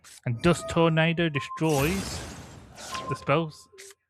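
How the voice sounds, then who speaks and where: A man's fairly high voice at a very slow pace, with music in the background. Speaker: gaming commentator. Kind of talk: live commentary. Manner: halting.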